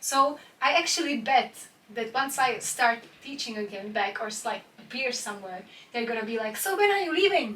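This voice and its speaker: Against noticeable background noise, a woman talks at a moderate pace with a high pitch and lively intonation. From Czech Republic, Prague. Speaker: dance teacher and adult dance student. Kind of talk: casual interview. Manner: halting.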